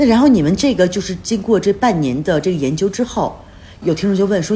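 A woman with a somewhat breathy, medium-pitched voice talks at a fairly quick pace with lively intonation. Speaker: podcast host. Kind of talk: casual interview chat.

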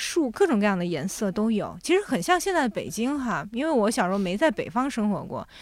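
A woman with a fairly high voice talks at a fairly quick pace, with hardly any pauses and very wide pitch swings. The recording is very clean with a silent background. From Jiangsu, China (born in Shanghai). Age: 30s. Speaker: children's book editor and podcast host. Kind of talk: casual interview chat.

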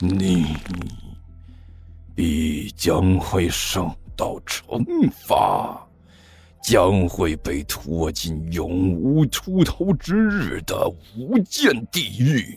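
A put-on character voice with a slightly husky edge, big pitch swings and a very slow pace, with faint music in the background. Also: man, low pitch for a man.

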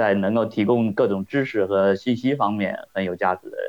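At a moderate pace, a man with a fairly low pitch talks in a normal speaking voice, keeping his intonation fairly even. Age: 40s. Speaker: podcast listener. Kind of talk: casual chat.

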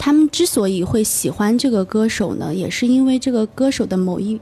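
Through noticeable background noise, a woman with a fairly high pitch speaks at a moderate pace with lively intonation. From Gansu, northwest China. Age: young. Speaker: entrepreneur. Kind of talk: radio interview. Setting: radio studio. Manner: hesitant, many fillers.

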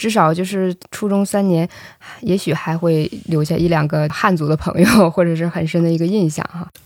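This is an unremarkable speaking voice at a moderate pace, with fairly even intonation. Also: woman, fairly low pitch for a woman. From northeast China. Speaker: podcast host. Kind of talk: interview.

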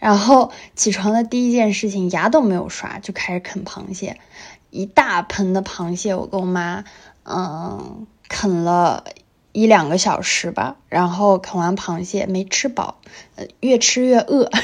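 A woman with medium pitch and ordinary pitch variation talks at a fairly slow pace over a quiet background. It is an ordinary speaking voice. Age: 20s. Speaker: podcast co-host. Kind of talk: casual chat.

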